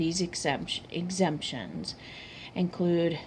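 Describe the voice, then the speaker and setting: The speech is somewhat breathy and comes at a fairly slow pace. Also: woman. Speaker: university student. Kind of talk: class presentation. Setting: filmed by a cameraman. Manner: halting, stumbling over words.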